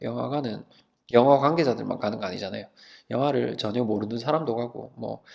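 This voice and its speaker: Speaking at a fairly quick pace, a man uses vocal fry and a medium pitch, with ordinary pitch variation and big swings in loudness. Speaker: art docent and YouTuber. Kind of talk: self-introduction Q&A talk. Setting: studio in private office. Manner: chatty, many fillers.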